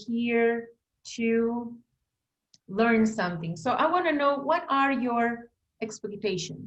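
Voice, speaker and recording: With a Spanish accent, a woman speaks at a very slow pace and a fairly high pitch, using ordinary pitch variation. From Bolivia. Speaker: language teacher and teacher trainer. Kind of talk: online workshop presentation.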